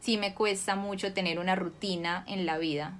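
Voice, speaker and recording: A woman speaks at a moderate pace with an unremarkable speaking voice, a medium pitch, and ordinary pitch variation. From Colombia, Cali. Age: 20s. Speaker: actress. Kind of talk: interview.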